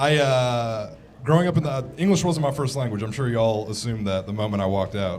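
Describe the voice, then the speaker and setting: A man at medium pitch with a very fast pace and lively intonation, with audible room echo and noticeable background noise. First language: Farsi. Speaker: stand-up comedian. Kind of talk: stand-up. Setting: stage with audience.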